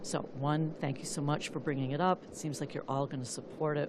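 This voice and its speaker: With an American accent and a very deep, low pitch, a woman speaks amid noticeable background noise and audible room echo. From US Midwest, Flint, Michigan. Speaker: activist, public commenter. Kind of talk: public comment at council meeting. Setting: city council meeting. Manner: halting.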